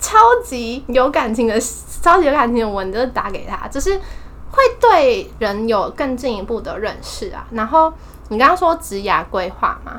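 A woman speaks at a moderate pace. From Taiwan, Taipei. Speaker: exchange student. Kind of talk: casual chat.

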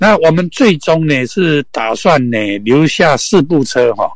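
Through noticeable background noise, a man with a fairly high pitch swings very widely in pitch. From Taiwan, Hsinchu. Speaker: camper van conversion specialist. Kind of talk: casual interview. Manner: halting, many fillers.

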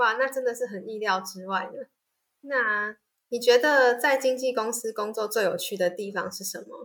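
A woman speaks at a fairly high pitch in a Taiwanese accent. Her loudness swings widely, while her pitch varies in an ordinary way. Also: moderate pace. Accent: Taiwanese Mandarin. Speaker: student podcast host. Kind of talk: interview hosting.

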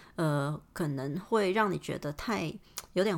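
A woman speaks in a fairly low voice. The recording is very clean, with total silence behind her. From Hong Kong. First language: Cantonese (speaking Chinese). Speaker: podcaster. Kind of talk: casual monologue. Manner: hesitant, many fillers.

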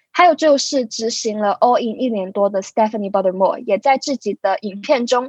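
A woman with a plain, everyday voice speaks at a moderate pace in a fairly high pitch. Her intonation is lively, and the sound is dry and close with no echo. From Hong Kong. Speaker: physiotherapy student. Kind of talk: scripted narration.

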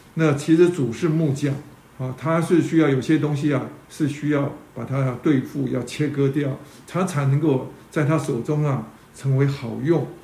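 A man speaks with fairly even intonation. Audible room echo and noticeable background noise surround his voice. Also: fairly high pitch for a man, moderate pace. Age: 60s. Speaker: church teacher. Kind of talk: sermon. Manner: halting, many fillers.

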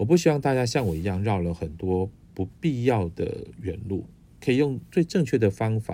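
Relaxed and somewhat breathy, a man speaks at a fairly low pitch with a dark, mellow tone and lively intonation. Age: middle-aged. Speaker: podcast host. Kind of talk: casual monologue. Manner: relaxed, with many filler particles.

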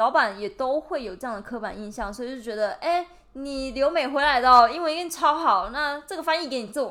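Raised and projected, a woman's high-pitched voice has a bright, sharp tone and lively intonation, moving at a fairly quick pace with hardly any pauses and big swings in loudness. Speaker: podcast host, graduate student. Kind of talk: casual chat.

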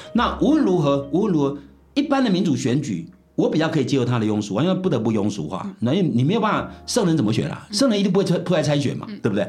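A man talks at a very fast pace, his pitch swinging very widely. Music plays in the background, and room echo is audible. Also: fairly high pitch for a man. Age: 70s. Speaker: philosophy professor. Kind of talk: interview.

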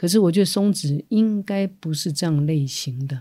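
Someone with a Taiwanese accent is heard in a very clean recording against a silent background. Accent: Taiwanese Mandarin. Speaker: podcast co-host, former English teacher. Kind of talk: casual chat.

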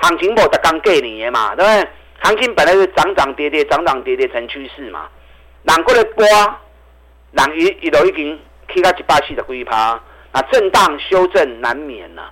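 Animated in tone, a man speaks at a high pitch and moderate pace, with lively intonation and big swings in loudness. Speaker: stock market analyst. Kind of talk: radio investment commentary.

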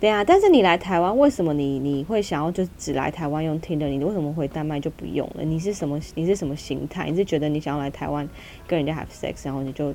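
Animated and very fast, a woman with a very deep, low voice talks with hardly any pauses. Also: ordinary pitch variation. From Taiwan. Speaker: podcast co-host. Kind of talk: casual chat.

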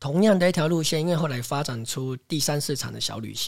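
A man's voice, somewhat breathy. The pace is fairly quick. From Taiwan, Taipei. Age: 40s. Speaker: farmer. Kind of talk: interview.

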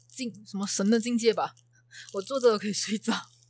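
This woman talks at a fairly quick pace with a fairly high pitch. Her voice is somewhat breathy, with fairly even intonation. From Malaysia. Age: 20s. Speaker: guest, Malaysian student in Taiwan. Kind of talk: casual chat.

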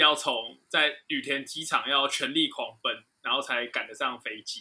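Speaking with a Taiwanese accent, a man keeps a moderate pace. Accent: Taiwanese Mandarin. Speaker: aviation podcast co-host. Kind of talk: casual chat.

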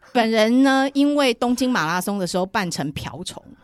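A woman with a Taiwanese accent speaks at a moderate pace in a fairly high voice with lively intonation, over noticeable background noise. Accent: Taiwanese Mandarin. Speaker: running cafe founder, entrepreneur. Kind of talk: casual interview chat.

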